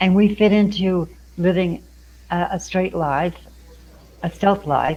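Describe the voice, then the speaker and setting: Speaking at a fairly slow pace, a woman uses a dark, mellow tone at medium pitch with fairly even intonation. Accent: American. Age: 70s. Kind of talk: interview. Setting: meeting room at community center.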